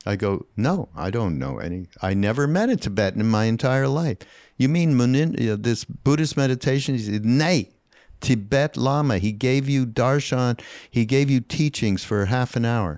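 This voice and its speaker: Here is a man with an ordinary speaking voice and medium pitch. He speaks at a moderate pace with lively intonation. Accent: Canadian. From Canada. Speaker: podcast host and spiritual teacher. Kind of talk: casual interview conversation.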